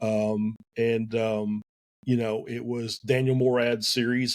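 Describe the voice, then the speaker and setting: A man with a Southern US accent. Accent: Southern US drawl. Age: 50s. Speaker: esports team owner. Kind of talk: podcast interview. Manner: hesitant, many fillers.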